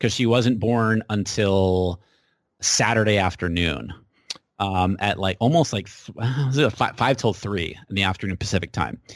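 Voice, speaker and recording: In an ordinary speaking voice with an American accent, a man speaks at a moderate pace with a fairly low pitch and ordinary pitch variation. The recording is very clean, the background silent. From New Hampshire, US. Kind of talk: casual interview.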